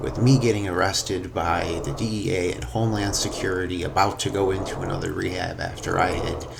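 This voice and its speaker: Over noticeable background noise and audible room echo, a man with a very deep, low pitch speaks at a moderate pace with lively intonation. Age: 40s. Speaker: recovering addict. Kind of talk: testimony. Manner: halting.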